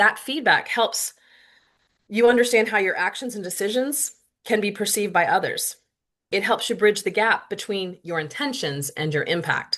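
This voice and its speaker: The voice has a bright, sharp tone and lively intonation. The background is quiet. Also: woman, fairly high pitch for a woman. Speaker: workplace leader and guest presenter. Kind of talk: presentation. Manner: fast.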